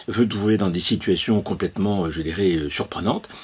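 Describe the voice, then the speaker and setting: Noticeable background noise sits behind this recording. The man's pitch is fairly low. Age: 70s. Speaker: consciousness-awakening trainer. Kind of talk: opinion monologue. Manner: halting, many hesitations.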